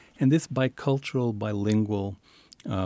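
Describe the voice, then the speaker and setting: A man with an American accent speaks in a dark, mellow tone with ordinary pitch variation. The sound is dry and close with no echo, and the recording is very clean with a silent background. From El Paso, Texas border region. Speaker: author and writing teacher. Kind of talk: radio interview.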